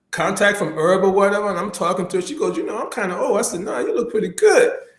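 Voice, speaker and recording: A man talks at a very fast pace with lively intonation and a high pitch. There is audible room echo. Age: 60s. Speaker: YouTube talk show host. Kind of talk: casual chat. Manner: halting.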